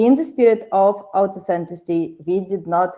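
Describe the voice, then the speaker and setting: A woman speaks in a Ukrainian accent at a medium pitch, her tone dark and mellow. Her pitch varies in an ordinary way. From Ukraine. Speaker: podcast host. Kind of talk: show intro and sponsor reads.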